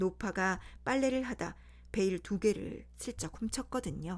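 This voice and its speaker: A woman speaks very slowly on a very clean recording with a silent background. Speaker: storyteller. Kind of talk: bedtime fairy tale reading. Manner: plain reading without character voices.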